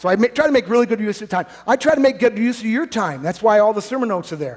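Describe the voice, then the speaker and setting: A man with a high pitch speaks at a very fast pace. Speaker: pastor. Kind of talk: sermon. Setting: church.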